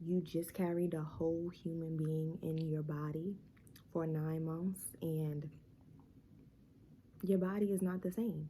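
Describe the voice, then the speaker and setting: The woman speaks at a fairly slow pace with long, frequent pauses, her fairly low, somewhat breathy voice dark and mellow in tone and flat and monotone in intonation. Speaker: vlogger, new mom. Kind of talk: casual vlog talk to camera. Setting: at home during baby's nap. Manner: quieter than usual, talking low; casual, filler-heavy.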